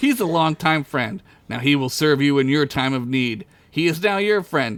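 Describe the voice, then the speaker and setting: In a booming, put-on character voice, a man speaks at a fairly high pitch and a moderate pace on a very clean recording with a silent background. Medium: read story. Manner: casual, relaxed.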